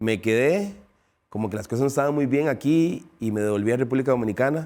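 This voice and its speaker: In a very clean recording with a silent background, a man talks at a very fast pace in a medium pitch, his dark, mellow tone carried by lively intonation. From Dominican Republic, raised in Costa Rica from age 9. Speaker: retired footballer. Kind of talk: interview. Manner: halting, repeats words.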